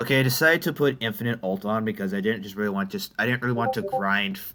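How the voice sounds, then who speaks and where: The man's voice is fairly low in pitch, with a bright, sharp tone. He goes at a fairly quick pace with ordinary pitch variation. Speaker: gaming youtuber. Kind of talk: gameplay commentary. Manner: stuttering, halting; casual, conversational.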